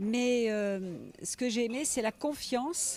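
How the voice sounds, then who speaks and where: A woman talks with a fairly high pitch. The pitch shifts in an ordinary way. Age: 60s. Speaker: writer, biographer. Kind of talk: interview. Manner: hesitant, with many fillers.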